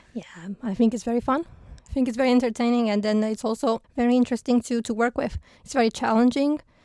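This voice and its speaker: A woman speaks in a high voice with a dark, mellow tone. Her intonation stays fairly even. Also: moderate pace, dry, close sound with no echo. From Romania. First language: Romanian (speaking Danish). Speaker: rocket engineer. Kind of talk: interview. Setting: studio.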